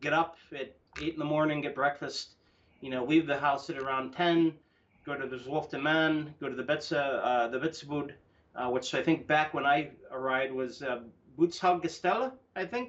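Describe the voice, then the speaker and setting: The man speaks with an American accent. His pitch is fairly high and his pace is moderate. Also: ordinary pitch variation. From US Midwest, Cleveland Ohio. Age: 40s. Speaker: football fan. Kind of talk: podcast conversation. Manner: hesitant, many fillers.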